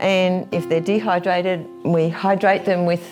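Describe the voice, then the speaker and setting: With music in the background, a woman in an Australian accent speaks at a moderate pace and a fairly low pitch. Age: 70s. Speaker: wildlife carer. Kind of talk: interview answer.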